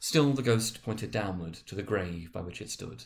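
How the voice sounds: A man with a low voice speaks with lively intonation and some vocal fry. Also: moderate pace.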